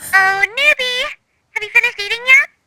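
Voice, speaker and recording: This put-on character voice is squeaky and extremely high-pitched. It moves at a fairly quick pace with a bubbly tone. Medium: audio drama. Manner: bubbly, chirpy.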